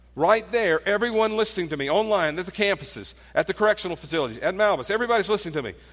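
Over noticeable background noise, a high-pitched man talks very fast with lively intonation and hardly any pauses. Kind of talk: guided prayer closing a sermon.

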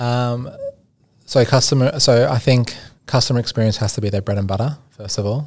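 A man speaks fairly quickly, keeping his intonation fairly even. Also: medium pitch for a man. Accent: Australian. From Australia, Sydney. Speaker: product and innovation consultant. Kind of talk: podcast interview. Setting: studio.

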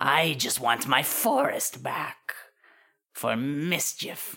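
A put-on character voice, raspy and at a middle pitch. It drags along at a very slow pace. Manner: prim, playful, giggly.

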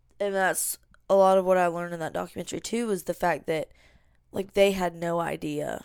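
Upbeat woman in a Southern US accent, fairly low-pitched and fairly quick, on a very clean recording with a silent background. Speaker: podcast host. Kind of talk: casual chat. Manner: chatty, upbeat.

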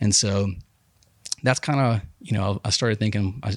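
A man speaks with an Alabama accent and vocal fry. The sound is dry and close with no echo. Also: very clean recording, silent background. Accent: Southern US (Alabama). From Alabama, US South (Huntsville and Dothan). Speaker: clothing company owner. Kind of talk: casual interview. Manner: lots of filler words, halting.

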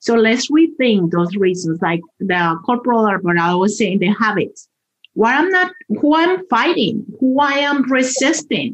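A woman with a Spanish accent, fairly high-pitched, with very wide pitch swings, very even loudness and a fairly slow pace. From Colombia. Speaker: transportation department spokesperson. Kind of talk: interview.

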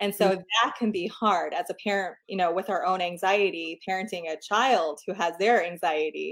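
With a normal speaking voice, a woman talks at a moderate pace and medium pitch, her intonation fairly even and hardly any pauses between words. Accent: American. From New York. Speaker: clinical psychologist. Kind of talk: interview.

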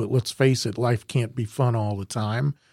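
A man with a plain, everyday voice and an American accent speaks at a fairly slow pace in a medium pitch with ordinary pitch variation, the sound dry and close with no echo. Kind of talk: casual chat.

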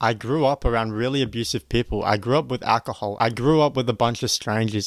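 Speaking fairly quickly with an Australian accent, a man uses a medium pitch in a very clean recording with a silent background. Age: 20s. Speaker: podcast host, online business coach. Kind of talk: motivational monologue. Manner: energetic.

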